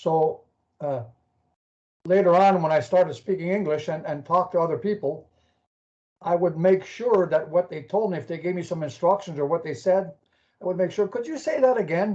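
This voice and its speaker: With long, frequent pauses, a man speaks at a moderate pace and a high pitch in a dark, mellow tone, using ordinary pitch variation. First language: French. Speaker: caller. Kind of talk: casual chat. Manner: halting.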